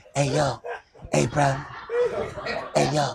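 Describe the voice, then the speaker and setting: A man's raspy, put-on character voice at a fairly high pitch. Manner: smooth, suave.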